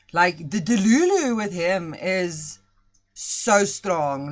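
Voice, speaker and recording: With music in the background, a woman's pitch swings very widely. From South Africa. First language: Afrikaans. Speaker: streamer. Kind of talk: casual livestream chat.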